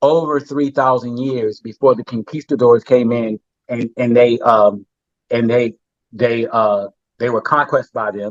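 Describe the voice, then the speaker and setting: With an American accent, a man talks at a medium pitch and a fairly slow pace. His intonation stays fairly even. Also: dry, close sound with no echo. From United States. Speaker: therapist. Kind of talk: podcast interview. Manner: halting, many repeated words.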